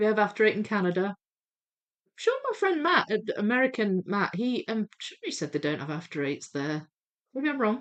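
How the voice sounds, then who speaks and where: At a moderate pace, a woman's fairly high voice makes very wide pitch swings and big swings in loudness. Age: 40s. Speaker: jigsaw puzzle livestreamer. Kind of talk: live stream chat while reading viewer comments. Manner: chatty, hesitant with fillers.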